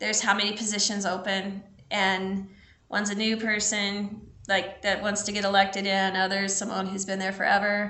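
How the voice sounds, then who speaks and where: A woman with an American accent at medium pitch and moderate pace, with audible room echo and noticeable background noise. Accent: Missouri accent, sometimes. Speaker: local theater host of debate commentary show. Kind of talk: casual chat. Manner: animated.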